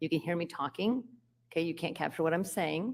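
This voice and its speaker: A woman speaks at a fairly low pitch. The recording is very clean, with a silent background. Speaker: police officer testifying at hearing. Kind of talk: testimony under cross-examination. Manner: fast.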